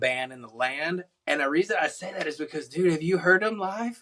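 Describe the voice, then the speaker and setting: In a Texas accent, a man talks at a moderate pace with a bright, sharp tone and ordinary pitch variation. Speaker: country musician. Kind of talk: casual chat. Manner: animated.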